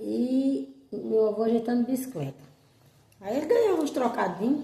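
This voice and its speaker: A woman with a northeastern Brazilian accent, fairly high pitch, very wide pitch swings and a moderate pace. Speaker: storyteller. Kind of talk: casual storytelling to camera about childhood memories. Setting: outdoors, rural farm with animal sounds.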